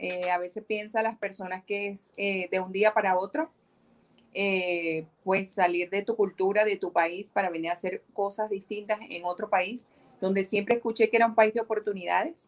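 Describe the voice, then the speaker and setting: This is a normal speaking voice at a moderate pace. The intonation is fairly even. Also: woman, medium pitch for a woman. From Venezuela, Maracaibo (Zulia). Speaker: entrepreneur and English teacher. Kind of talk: casual interview.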